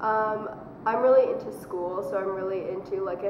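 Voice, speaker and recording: Against noticeable background noise and audible room echo, a woman with a Canadian accent speaks at a moderate pace and a medium pitch. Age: 20s. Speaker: university student. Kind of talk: casual interview.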